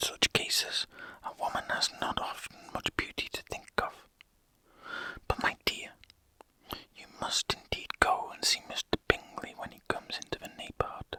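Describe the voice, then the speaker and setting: A man whispers in a soothing tone with big swings in loudness and long, frequent pauses, the sound dry and close with no echo, though noticeable background noise is present. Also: moderate pace. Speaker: ASMR creator. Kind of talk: whispered ASMR book reading. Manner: whispered, soothing, relaxing.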